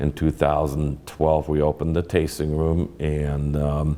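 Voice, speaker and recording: With a German accent, a man speaks in a very deep, low pitch and a monotone, flat intonation. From Germany. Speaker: winemaker, winery founder. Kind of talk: interview. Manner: halting.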